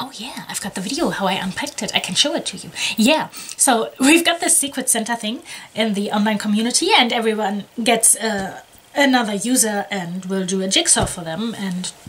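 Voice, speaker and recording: A woman speaks at a fairly quick pace, and her intonation is lively. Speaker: jigsaw hobby vlogger. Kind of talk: casual vlog chat. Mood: cheerful, a bit scattered. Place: home room.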